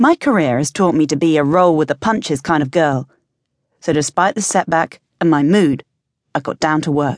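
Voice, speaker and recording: A confident tone at a moderate pace, ordinary pitch variation, dry, close sound with no echo and a quiet background. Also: woman, very deep, low pitch for a woman. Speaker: audiobook narrator. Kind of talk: first-person audiobook narration of a romance-fantasy novel. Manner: wry, sardonic storytelling with conversational asides; brisk, confident heroine voice with comic timing.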